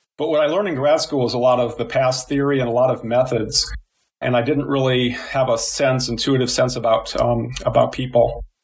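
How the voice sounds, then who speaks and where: A man with a Midwestern US accent talks at a fairly quick pace. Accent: General American (Midwestern). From US Midwest (Illinois). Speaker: psychology professor. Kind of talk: interview.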